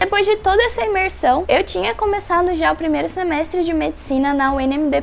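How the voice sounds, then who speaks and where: Over noticeable background noise, a woman with a São Paulo accent talks very fast in a high pitch with lively intonation. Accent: Brazilian Portuguese, São Paulo. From São Paulo, Brazil. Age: 20s. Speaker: medical student. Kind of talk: casual talk to camera.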